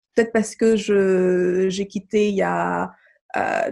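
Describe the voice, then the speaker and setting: Very slow female speech pitched in the middle range. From Mali, raised abroad in diplomatic family. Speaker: feminist activist and entrepreneur. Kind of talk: interview. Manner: hesitant, many fillers.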